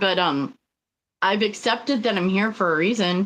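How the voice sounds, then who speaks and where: Against a quiet background, a woman with a slight South Dakota accent talks at a fairly slow pace. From Riverside, Southern California. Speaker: spiritual co-host. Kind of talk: casual live-stream chat. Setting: live stream.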